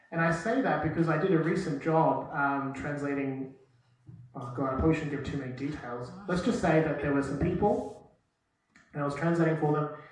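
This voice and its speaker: A fairly high-pitched man speaks at a fairly quick pace with ordinary pitch variation. Room echo is audible. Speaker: university lecturer in translation. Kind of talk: lecture. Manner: casual, hesitant with many fillers.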